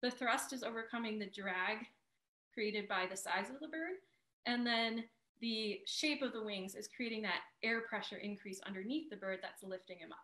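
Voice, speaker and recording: Bright, sharp tone from a woman with a fairly high voice, ordinary pitch variation and a moderate pace, over a quiet background with audible room echo. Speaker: museum educator. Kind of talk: educational presentation. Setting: video call. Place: home room. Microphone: video call.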